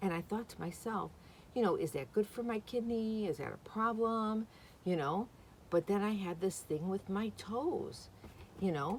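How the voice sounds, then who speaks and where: Speaking at a moderate pace, a woman has a medium-pitched voice that is somewhat breathy. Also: ordinary pitch variation. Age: 60s. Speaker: vlogger. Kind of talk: casual vlog talk. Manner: chatty, rambling with fillers.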